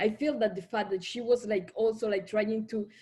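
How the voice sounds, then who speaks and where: In a Colombian Caribbean accent, a woman talks at a medium pitch. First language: Spanish. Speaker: writer. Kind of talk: panel discussion. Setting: video call. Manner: halting.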